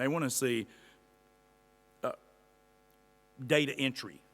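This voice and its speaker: A man speaks at a moderate pace with a medium pitch. His tone is bright and sharp. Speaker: employment consultant. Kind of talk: lecture.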